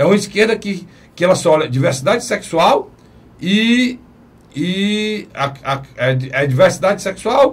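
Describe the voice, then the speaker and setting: A man speaks at a fairly slow pace in a high voice, his intonation lively and broken by long, frequent pauses. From Brazil. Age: 50s. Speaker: TV talk show host. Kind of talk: political talk show discussion.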